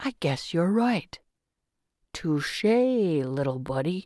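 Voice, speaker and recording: The speaker uses a put-on character voice at a middle pitch. Delivery is at a very slow pace. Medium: read story. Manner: jokey, casual.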